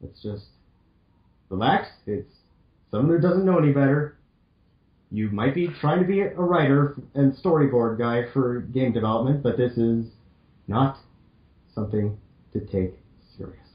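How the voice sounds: Pausing long and often, a man speaks at a moderate pace and medium pitch with ordinary pitch variation.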